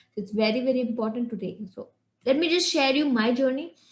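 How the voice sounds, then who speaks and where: A woman with a high voice talks rather briskly. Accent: Indian. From India, Shillong. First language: Hindi. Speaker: English communication coach. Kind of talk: online lesson. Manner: halting.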